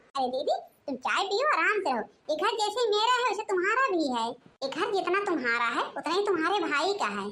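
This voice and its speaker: A woman does a put-on character voice, squeaky and extremely high-pitched, at a fairly quick pace. Her pitch swings very widely. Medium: cartoon. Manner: forceful, protective.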